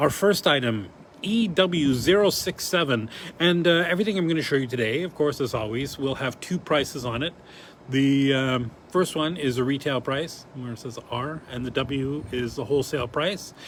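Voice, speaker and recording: Noticeable background noise sits behind a man speaking at a moderate pace. He has a fairly high pitch and lively intonation. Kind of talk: live stream product showcase. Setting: showroom live stream.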